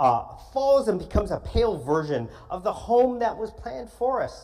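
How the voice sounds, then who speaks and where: Speaking at a fairly slow pace with an American accent, the voice carries audible room echo. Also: man. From California, Los Angeles. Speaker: guest preacher. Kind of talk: sermon. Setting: church.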